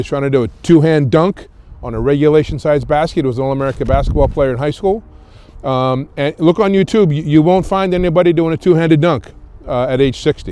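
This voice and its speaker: A man's fairly high voice with a dark, mellow tone, ordinary pitch variation, and a fairly quick pace. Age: 60s. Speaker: filmmaker. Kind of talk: casual chat. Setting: outdoors. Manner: halting, many fillers.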